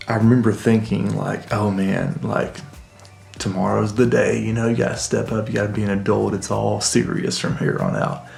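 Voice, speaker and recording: Music plays in the background as a man talks. The room echo is audible. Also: moderate pace. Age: 30s. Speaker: vlogger. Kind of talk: casual monologue. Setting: home basement. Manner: whispering; reflective, halting.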